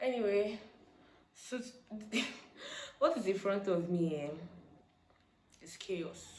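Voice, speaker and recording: The speech moves at a very slow pace with long, frequent pauses, lively intonation and big swings in loudness, set against audible room echo and noticeable background noise. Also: woman, medium pitch for a woman. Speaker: vlogger. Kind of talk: casual vlog talk.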